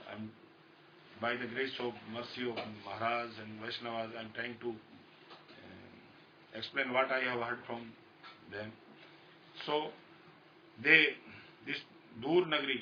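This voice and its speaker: Fairly slow, fairly even speech with long, frequent pauses and big swings in loudness over noticeable background noise. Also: man, medium pitch for a man. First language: Hindi. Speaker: spiritual teacher. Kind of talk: religious discourse. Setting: live talk recorded on a phone. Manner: halting. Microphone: phone recording.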